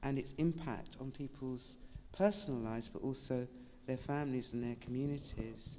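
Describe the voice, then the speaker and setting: With a British accent, a woman speaks at a moderate pace in a very deep, low pitch and a dark, mellow tone, with ordinary pitch variation. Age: 70s. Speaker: author and activist. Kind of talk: panel discussion.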